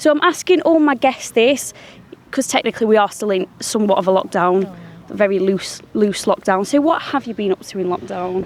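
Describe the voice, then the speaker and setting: Upbeat in tone, a woman speaks at a fairly quick pace with a medium pitch and lively intonation. Noticeable background noise sits behind her. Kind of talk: podcast host interview. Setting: outdoors. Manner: chatty, upbeat.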